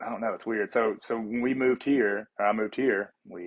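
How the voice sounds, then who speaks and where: The speaker has a Southern US accent and a fairly slow pace. The intonation stays fairly even. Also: man. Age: 30s. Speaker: fitness coach and athlete. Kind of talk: casual chat. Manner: halting.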